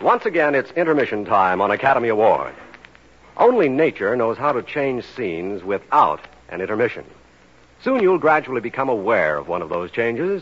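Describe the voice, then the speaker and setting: A man at a fairly quick pace with very wide pitch swings, against noticeable background noise. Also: medium pitch for a man. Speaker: radio announcer. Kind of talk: scripted radio announcement and advertising. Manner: formal.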